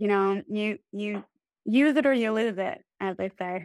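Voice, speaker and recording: A woman speaks with a Midwestern accent. The recording is very clean and dry, with a silent background, a close sound and no echo. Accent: general American, Midwestern. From US Midwest, Illinois. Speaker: expat living in France.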